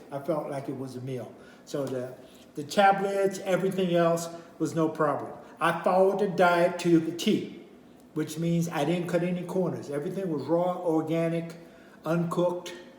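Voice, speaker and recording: This man has a high voice and fairly even intonation at a moderate pace. Noticeable background noise runs underneath. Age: 70s. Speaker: minister. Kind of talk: product review talk to camera. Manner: casual, hesitant.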